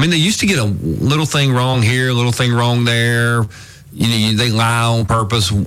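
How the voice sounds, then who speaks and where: This man talks at a fairly quick pace with an Alabama accent, his medium pitch showing ordinary variation and his loudness very even. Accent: Southern US (Alabama). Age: 50s. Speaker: radio talk show host. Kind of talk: talk radio chat.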